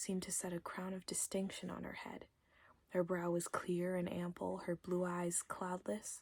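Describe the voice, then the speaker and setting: Soft-spoken, with a gentle tone and monotone, flat intonation. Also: woman, fairly low pitch for a woman, moderate pace. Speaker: ASMR content creator. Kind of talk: ASMR bedtime story reading. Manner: soft-spoken, gentle.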